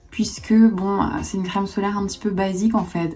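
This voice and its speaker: A woman talks at a fairly quick pace. Her voice is somewhat breathy with a dark, mellow tone. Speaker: beauty youtuber. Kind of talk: product review.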